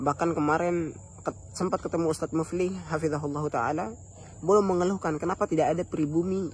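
A man at a fairly quick pace with ordinary pitch variation, in a dry sound with no echo and light background noise. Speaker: religious vlogger. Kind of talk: casual religious talk to viewers. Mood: earnest, grateful. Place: garden. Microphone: phone near.

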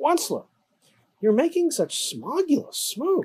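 An extremely high, croaky put-on character voice moves through very wide pitch swings. Its pace is fairly slow. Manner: scolding, complaining.

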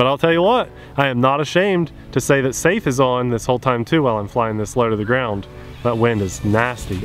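Lively intonation marks a man speaking at a fairly quick pace. The sound is dry with no echo, with light background noise. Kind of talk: live flying commentary. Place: open country.

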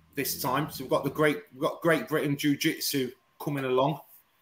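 Music plays in the background as a man talks with fairly even intonation. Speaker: guest. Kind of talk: interview answer. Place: home room.

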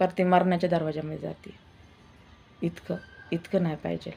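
Fairly low in pitch with fairly even intonation, a woman talks in an ordinary speaking voice. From Maharashtra, Indapur area. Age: 40s. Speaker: vlogger. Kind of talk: personal testimony vlog.

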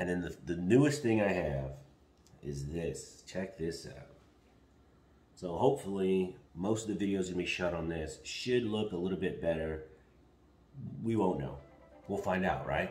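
A man speaks at a moderate pace in a very deep, low voice with vocal fry. Long, frequent pauses break it up, and the room echo is audible. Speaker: vlogger. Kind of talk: casual vlog chat. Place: kitchen.

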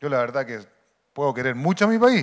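Against a quiet background, a man talks at a moderate pace, his pitch swinging very widely. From Chile. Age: 50s. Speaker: football coaching instructor, former player; football coaching instructor. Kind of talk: lecture. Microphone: handheld.

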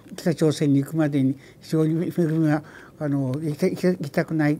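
Flat, monotone intonation comes at a fairly slow pace over noticeable background noise. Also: woman, long, frequent pauses, big swings in loudness. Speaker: father of an abduction victim. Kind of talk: testimony. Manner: halting, stammering.

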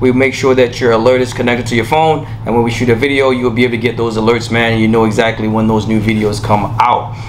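Very fast, monotone, flat delivery with hardly any pauses over light background noise. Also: man. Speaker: appliance reviewer. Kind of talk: casual product review intro. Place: studio.

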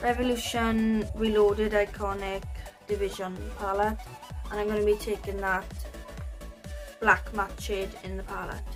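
A woman speaks at a moderate pace. Clear music can be heard behind her. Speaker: face painting vlogger. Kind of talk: casual vlog chat. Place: home room. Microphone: camera far.

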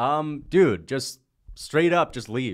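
A man's lively voice with vocal fry, set against a quiet background. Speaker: livestream host. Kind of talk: casual livestream chat reading super chats. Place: home room. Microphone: studio mic.

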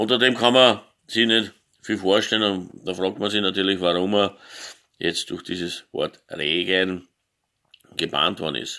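A man speaks at a fairly slow pace with long, frequent pauses and fairly even intonation. His pitch is fairly low, his tone bright and sharp, and the background quiet. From Austria. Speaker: gaming YouTuber; vlogger. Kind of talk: opinion monologue. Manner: halting, many filler sounds. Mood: indignant, emphatic at end. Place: home room. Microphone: phone near.

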